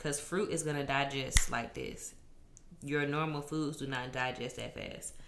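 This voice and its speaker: The speech comes at a moderate pace with monotone, flat intonation. Audible room echo surrounds it. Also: woman, very deep, low pitch for a woman. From Louisiana. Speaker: third grade teacher. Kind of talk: casual chat.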